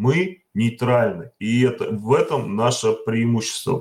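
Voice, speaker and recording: The intonation is lively. The pace is fairly slow. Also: man. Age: 50s. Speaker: worker and political assembly delegate. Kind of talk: online panel discussion. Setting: voice chat. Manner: plain, simple speech.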